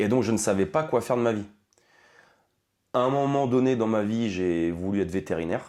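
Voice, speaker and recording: With lively intonation, a man's voice carries a dark, mellow tone. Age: 30s. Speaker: firefighter. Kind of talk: interview. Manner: hesitant, many fillers.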